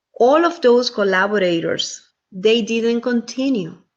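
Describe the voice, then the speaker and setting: A woman with a Spanish accent speaks at a fairly slow pace. Her pitch is high and her intonation lively. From Dominican Republic. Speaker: theater company co-founder. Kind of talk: presentation. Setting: video call.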